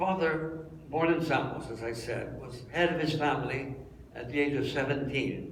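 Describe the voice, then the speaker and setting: With a Canadian accent, a man speaks over noticeable background noise, and audible room echo surrounds his voice. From Montreal, Quebec, Canada. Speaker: interviewee telling his life story. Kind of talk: life story talk to an audience. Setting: room with live audience. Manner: halting, with fillers.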